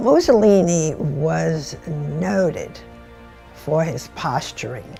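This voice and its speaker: A woman's very deep, low-pitched voice with music in the background. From United States. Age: 80s+. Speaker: retired executive. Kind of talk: interview answer.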